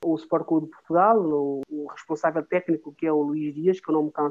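With fairly even intonation, a man talks at a fairly quick pace and a fairly high pitch. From São Tomé and Príncipe. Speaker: former footballer. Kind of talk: interview. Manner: halting.

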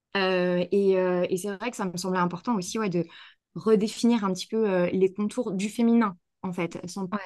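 A woman's medium-pitched voice at a moderate pace, with fairly even intonation over a quiet background. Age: 30s. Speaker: naturopath and holistic therapist. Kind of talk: casual interview. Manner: hesitant, many fillers and repetitions.

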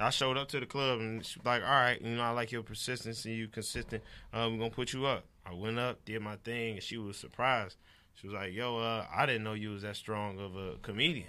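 An American-accented man at medium pitch, bright and sharp in tone, fairly quick and fairly even in intonation, on a very clean recording with a silent background. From Detroit, Michigan. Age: 30s. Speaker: comedian. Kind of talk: casual chat.

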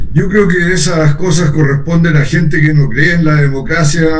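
Amid noticeable background noise and audible room echo, a man speaks at a moderate pace with a fairly high pitch and ordinary pitch variation. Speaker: congressman. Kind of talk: radio interview. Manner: formal.

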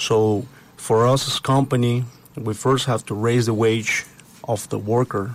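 A man with a Spanish accent, medium pitch, monotone, flat intonation and a fairly slow pace. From Puebla, Mexico. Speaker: construction company partner. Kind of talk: interview.

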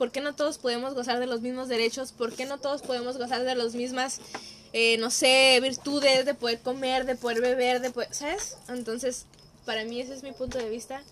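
A woman's high-pitched voice, fairly quick in pace, with monotone, flat intonation. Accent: Mexican. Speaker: psychologist. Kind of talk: casual chat.

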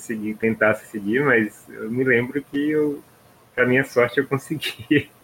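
A man's unremarkable speaking voice at a moderate pace, with fairly even intonation. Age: 30s. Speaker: podcast host. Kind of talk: casual chat.

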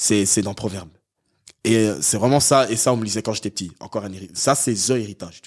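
Speaking at a very fast pace, a man has a fairly low pitch with ordinary variation. His loudness swings widely. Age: young. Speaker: podcast guest. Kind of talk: casual chat.

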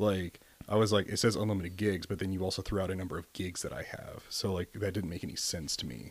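A man speaks very fast with an American accent, his very deep, low pitch held in fairly even intonation. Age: 20s. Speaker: navy corpsman. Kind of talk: casual chat.

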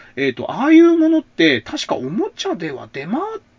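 A man talks in a relaxed tone at a fairly quick pace. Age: 40s. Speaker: podcast host. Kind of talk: solo monologue about retro TV shows. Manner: relaxed, many filler sounds.

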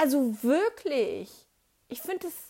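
A woman's voice with very wide pitch swings comes through in a very clean recording with a silent background. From Germany, not Swabia. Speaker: podcast host. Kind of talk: casual monologue. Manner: chatty, many fillers.

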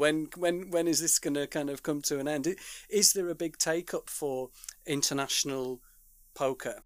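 A man with a Yorkshire accent talks in a fairly high voice with fairly even intonation. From Yorkshire, England. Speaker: podcast host. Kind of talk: casual interview. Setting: video call.

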